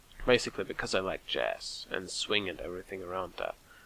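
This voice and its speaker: A man with a German accent at a moderate pace. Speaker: let's play gamer. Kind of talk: gameplay commentary. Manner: halting, self-correcting.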